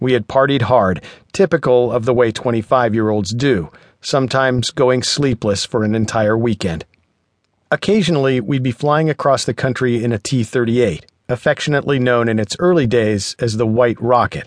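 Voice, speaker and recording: A man with a plain, everyday voice speaks at a medium pitch and moderate pace with ordinary pitch variation, the sound dry and close with no echo over a quiet background. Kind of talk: audiobook narration, reading aloud. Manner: measured, even, clear narration; warm, conversational first-person storytelling.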